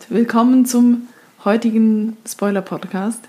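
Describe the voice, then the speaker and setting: A woman's dark, mellow, somewhat breathy voice with fairly even intonation. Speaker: podcast host. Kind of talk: casual chat.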